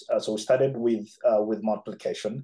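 Talking at a fairly quick pace, a man has a dark, mellow tone. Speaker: pastor trainer reporting. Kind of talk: interview answer. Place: home room. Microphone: video call.

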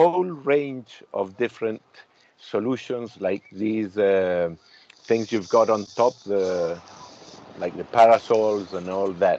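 The speech moves at a very slow pace with lively intonation. The sound is dry with no echo, over light background noise. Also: man. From Chile. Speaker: industrial designer and interviewer; interviewee. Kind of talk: interview conversation. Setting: video call from a caravan at the beach. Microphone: video call.

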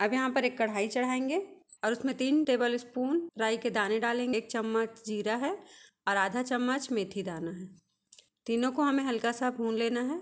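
A woman speaks at a fairly slow pace in a high voice with ordinary pitch variation against a quiet background. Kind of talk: tutorial. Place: kitchen.

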